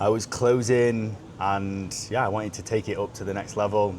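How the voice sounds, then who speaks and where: Fairly even intonation in a British accent, at a fairly quick pace. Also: man. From United Kingdom. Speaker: sales consultant, podcast co-host. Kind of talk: casual chat.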